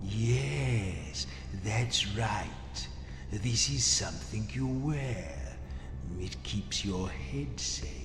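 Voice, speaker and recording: Over loud background noise and slight echo, a man speaks very slowly in a put-on character voice. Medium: game stream. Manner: patient, measured.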